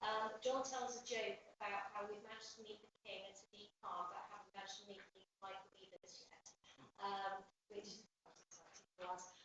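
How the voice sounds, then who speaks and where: A woman's medium-pitched, monotone, flat delivery with big swings in loudness. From Somerset, England. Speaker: college higher education lead. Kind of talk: presentation to council meeting. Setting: town hall meeting with audience. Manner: fast.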